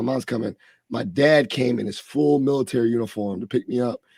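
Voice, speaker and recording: A man's medium-pitched voice has a dark, mellow tone and a dry, close sound with no echo. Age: 30s. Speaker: podcast host and higher education professional. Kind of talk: interview conversation. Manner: animated.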